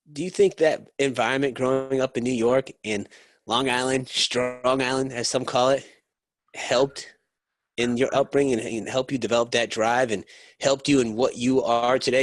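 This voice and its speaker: A man's normal speaking voice with an American accent, medium in pitch, at a fairly quick pace, with ordinary pitch variation, dry and close with no echo, over a quiet background. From US Northeast. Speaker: podcast host. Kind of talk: casual interview. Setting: remote call.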